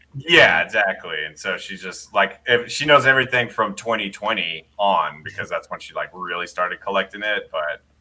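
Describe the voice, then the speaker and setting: A man with a Texan accent talks at a moderate pace, hardly pausing at all. His loudness swings widely. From Texas. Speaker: guest, husband of a toy-brick YouTuber. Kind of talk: casual chat.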